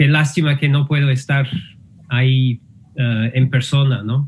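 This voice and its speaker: Somewhat breathy, a man speaks at a medium pitch with an English accent. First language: English (speaking Spanish). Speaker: linguistics professor. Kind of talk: lecture. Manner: halting, many fillers.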